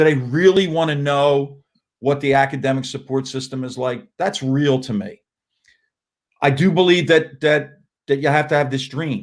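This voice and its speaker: A man with a plain, everyday voice speaks at a moderate pace in a fairly high pitch with fairly even intonation. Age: 60s. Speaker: college basketball coach. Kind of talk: casual interview.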